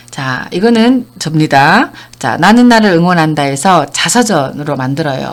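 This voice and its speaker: Lively intonation marks a woman's fairly low-pitched voice at a fairly slow pace. It is a normal speaking voice. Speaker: counseling center director and lecturer. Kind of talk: online lecture.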